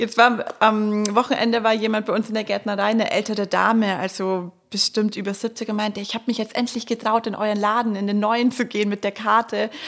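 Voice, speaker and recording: A woman talks in a monotone, flat intonation at a fairly high pitch, with hardly any pauses. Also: fairly quick pace. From Marktredwitz, Upper Franconia. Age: 30s. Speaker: florist and nursery co-owner. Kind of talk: casual interview.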